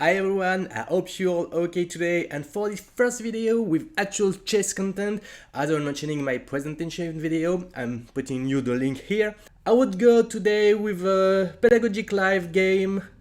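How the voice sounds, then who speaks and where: This man has a high-pitched voice. He speaks with a non-native accent. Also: lively intonation, moderate pace, very clean recording, silent background. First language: not English. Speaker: chess streamer. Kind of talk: live game commentary. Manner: hesitant, many fillers.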